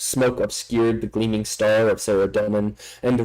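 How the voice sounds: A natural reading voice delivered with fairly even intonation.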